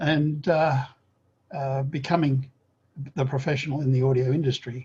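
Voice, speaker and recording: Somewhat breathy and fairly high-pitched, a man speaks in a dark, mellow tone at a moderate pace with monotone, flat intonation. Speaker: oral history interviewer. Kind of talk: interview questions.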